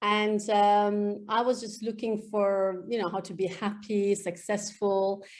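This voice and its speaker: Speaking at a fairly slow pace, a woman with an Iranian accent uses a medium pitch. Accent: Iranian (Persian) accent in English. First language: Farsi. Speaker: EFT practitioner. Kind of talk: interview. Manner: hesitant, many fillers.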